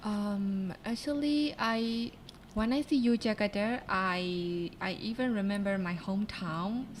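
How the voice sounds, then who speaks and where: With a Burmese accent, a woman speaks at a medium pitch and a fairly slow pace, somewhat breathy, with ordinary pitch variation. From Myanmar. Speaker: university student. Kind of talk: casual interview.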